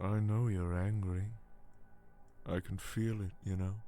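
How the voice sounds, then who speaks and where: A put-on character voice proceeds at a fairly slow pace against clear background noise. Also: man, fairly low pitch for a man. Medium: video game. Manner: soft, calm, manipulative.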